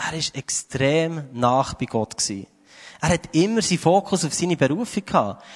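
Against a quiet background, a normal speaking voice moves at a moderate pace with lively intonation and a dry, close sound that has no echo. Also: man, fairly high pitch for a man. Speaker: preacher. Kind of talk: sermon. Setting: church stage with audience.

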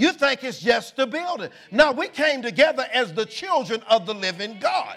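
A man with an extremely high pitch speaks in an animated tone at a moderate pace, with very wide pitch swings and noticeable background noise. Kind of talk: sermon, preacher in full flow. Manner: animated, call-and-response, exhorting the congregation; emphatic, repetitive, rhythmic preaching cadence.

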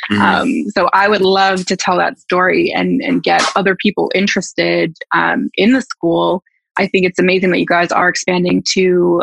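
A woman with a Canadian accent at a moderate pace. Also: dry, close sound with no echo. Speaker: public relations professional, former music student. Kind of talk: casual interview.

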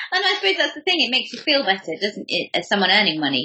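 Very fast and lively in intonation, a woman talks at medium pitch. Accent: English. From England. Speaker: podcast host. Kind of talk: interview.

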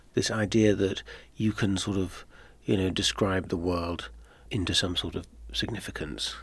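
On a very clean recording, silent background, a man talks at a moderate pace with vocal fry. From Netherlands. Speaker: author. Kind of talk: interview. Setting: studio.

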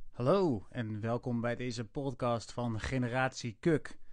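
Here is a man with an unremarkable speaking voice, medium in pitch and ordinary in pitch variation. The background is quiet. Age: 30s. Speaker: podcast host. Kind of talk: casual podcast intro and outro.

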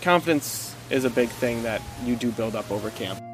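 Over music in the background, a man with a northern Minnesota accent talks at a moderate pace, medium in pitch with ordinary pitch variation. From small town in northern Minnesota. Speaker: summer camp counselor, podcast guest. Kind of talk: casual conversational.

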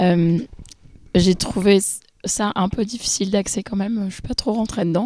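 A woman with a dark, mellow tone and medium pitch, fairly slow, with long, frequent pauses. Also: fairly even intonation. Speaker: film podcast co-host. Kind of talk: casual chat.

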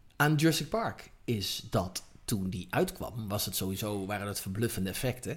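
Somewhat breathy and fairly low in pitch, a man speaks at a moderate pace with hardly any pauses. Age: 40s. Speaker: cinematographer. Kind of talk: interview. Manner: halting.

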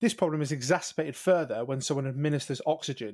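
A man speaks with a fairly high pitch and fairly even intonation. It is a plain, everyday voice. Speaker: paramedic. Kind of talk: educational podcast.

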